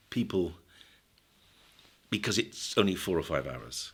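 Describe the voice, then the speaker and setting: A man speaks with a British accent and vocal fry, his pitch swinging very widely. The recording is very clean, with a silent background. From Britain. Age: 70s. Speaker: psychiatrist and drug researcher. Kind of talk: podcast interview.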